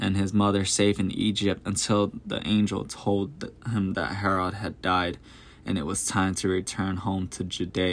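Someone is reading aloud in a natural voice.

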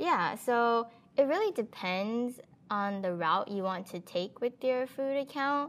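With lively intonation and an American accent, a woman speaks at a fairly slow pace and a fairly high pitch. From Texas, Houston. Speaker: food blogger. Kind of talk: interview.

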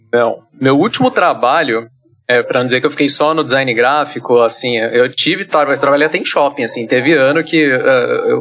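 A man with a normal speaking voice. He talks at a fairly quick pace. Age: 20s. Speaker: solo game developer. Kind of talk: casual interview.

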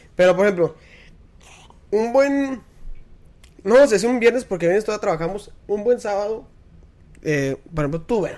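The delivery is fairly quick. Its tone is animated. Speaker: podcast host. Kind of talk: casual chat.

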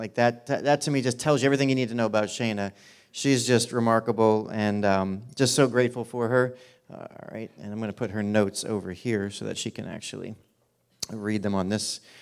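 In a very clean recording with a silent background, a man with a plain, everyday voice talks at a fairly quick pace and medium pitch, his intonation fairly even but his loudness swinging widely. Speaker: church pastor. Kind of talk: church announcements and introduction. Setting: church.

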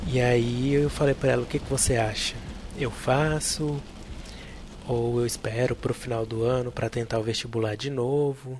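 A man's medium-pitched, monotone voice with flat intonation, amid noticeable background noise. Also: moderate pace. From central Brazil, Tocantins and Goiânia. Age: 20s. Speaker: podcast host, biomedical scientist. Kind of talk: personal storytelling monologue.

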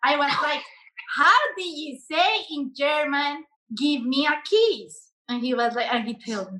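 In a Colombian accent, a woman raises and projects her high-pitched voice, bright and sharp in tone, with lively intonation at a fairly slow pace. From Colombia, Bogota. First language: Spanish. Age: 30s. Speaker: relationship coach. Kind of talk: casual interview.

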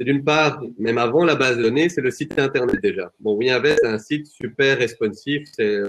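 Medium pitch and a moderate pace from a man with a plain, everyday voice. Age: 20s. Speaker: real estate software company employee. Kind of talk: webinar panel discussion.

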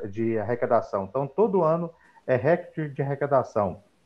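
Here is a man with a normal speaking voice. His pitch is medium and his pace is moderate. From Minas Gerais, Brazil. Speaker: accountant. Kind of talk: live stream panel talk.

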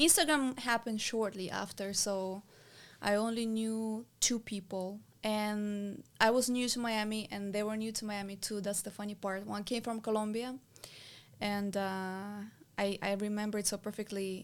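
This woman has a plain, everyday voice pitched fairly high. She speaks at a moderate pace with fairly even intonation. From abroad, immigrant to the US. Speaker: business owner and mentor. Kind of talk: casual interview.

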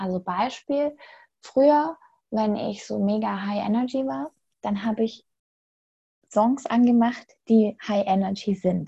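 A woman's dark, mellow, somewhat breathy voice with lively intonation, a very slow pace and long, frequent pauses. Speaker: spiritual coach. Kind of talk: interview. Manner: animated.

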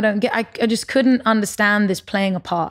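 At a fairly quick pace, a woman with a London accent talks at a medium pitch with ordinary variation, in a very clean recording with a silent background. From London and Paris, Lebanese parents. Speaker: musician and tech entrepreneur. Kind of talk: casual interview chat.

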